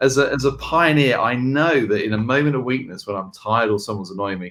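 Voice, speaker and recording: Speaking in an English accent, a man holds a medium pitch. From England. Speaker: leadership consultancy co-founder. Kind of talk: video podcast discussion.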